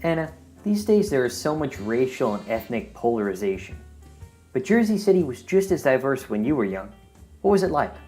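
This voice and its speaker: The talking goes at a fairly quick pace while music plays behind it. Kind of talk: podcast interviewer.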